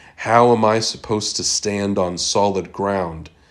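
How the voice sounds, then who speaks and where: A man uses a normal speaking voice with a fairly low pitch. He talks at a fairly slow pace with ordinary pitch variation. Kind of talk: poetry reading, performed poem. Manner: questioning, anguished, wrestling with faith; repetitive, building in intensity, with wry, sardonic edges.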